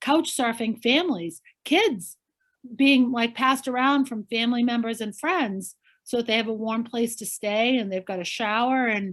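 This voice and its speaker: On a very clean recording with a silent background, a woman with a Boston accent speaks at a moderate pace in a fairly high pitch. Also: ordinary pitch variation. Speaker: politician. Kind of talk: interview answer.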